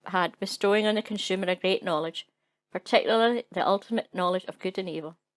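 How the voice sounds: A speaker reads in a natural voice, with normal shifts in pitch. Behind the voice, it stays quiet.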